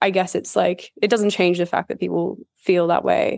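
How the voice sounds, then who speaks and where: Her intonation is monotone and flat as this woman speaks at a moderate pace and medium pitch. The sound is dry and close, with no echo. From Australia. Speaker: freelance writer and researcher. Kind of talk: casual chat. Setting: remote call.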